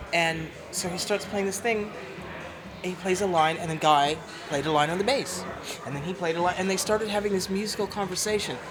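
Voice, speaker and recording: Amid noticeable background noise and audible room echo, a woman at a medium pitch talks fairly quickly, with long, frequent pauses. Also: ordinary pitch variation. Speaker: singer. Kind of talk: interview. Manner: loud.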